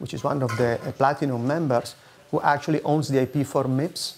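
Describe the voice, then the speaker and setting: Here a man speaks at a fairly quick pace in a medium pitch. His intonation stays fairly even. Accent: Italian. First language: Italian. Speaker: foundation security strategist. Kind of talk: conference presentation.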